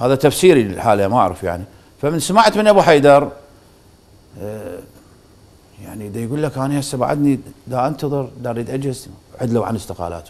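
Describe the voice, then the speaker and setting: Talking at a fairly quick pace with long, frequent pauses, a man in an Iraqi accent makes very wide pitch swings and big swings in loudness. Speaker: football club board member; talk show guest. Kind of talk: TV interview. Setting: studio. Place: studio. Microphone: lapel.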